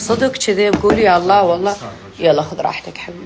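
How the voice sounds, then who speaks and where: In an animated tone, a woman speaks at a moderate pace and a medium pitch. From Iraq. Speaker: poet and social media personality. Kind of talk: casual vlog chat to followers.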